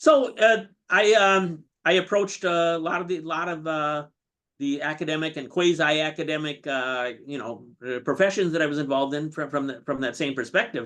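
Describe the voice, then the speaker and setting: Against a quiet background, a man speaks at a moderate pace with a fairly high pitch and ordinary pitch variation. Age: 60s. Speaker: chess master. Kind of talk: interview. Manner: halting, many fillers and repetitions.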